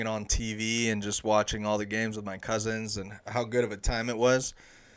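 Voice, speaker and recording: Recorded very cleanly against a silent background, a man with a Southern California accent speaks at a medium pitch and a moderate pace. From Los Angeles, San Fernando Valley. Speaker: sports podcast host. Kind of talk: casual solo podcast monologue.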